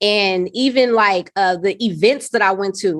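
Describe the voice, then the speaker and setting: Here is a woman with a plain, everyday voice. She has an American accent and ordinary pitch variation. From South Los Angeles. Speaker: social worker and nonprofit founder. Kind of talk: podcast interview answer. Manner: casual, conversational.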